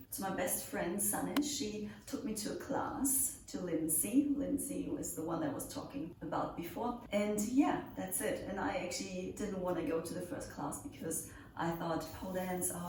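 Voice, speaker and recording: Speaking at a moderate pace with hardly any pauses, a woman with a German accent uses a medium pitch and very wide pitch swings, with audible room echo and noticeable background noise. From Germany, near Nuremberg. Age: 20s. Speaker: pole dance instructor. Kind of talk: Q&A video, casual chat. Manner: casual, with fillers.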